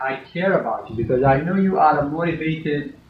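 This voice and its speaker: Audible room echo surrounds a man with a fairly high pitch. He talks at a fairly quick pace with ordinary pitch variation. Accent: non-native. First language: not English. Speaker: university lecturer. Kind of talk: classroom lecture. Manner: stern.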